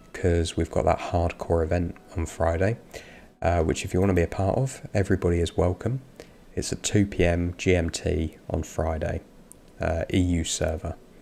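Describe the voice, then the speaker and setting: In a very clean recording with a silent background, a man with an English accent speaks at a moderate pace in a very deep, low pitch, his dark, mellow tone somewhat breathy and his intonation fairly even. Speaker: gaming streamer. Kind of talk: live gameplay stream commentary. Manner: casual, hesitant with fillers.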